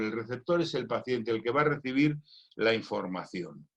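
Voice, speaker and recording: A man's medium-pitched, plain, everyday voice with lively intonation. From Spain. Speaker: doctor and cancer patient. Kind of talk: recorded conference talk.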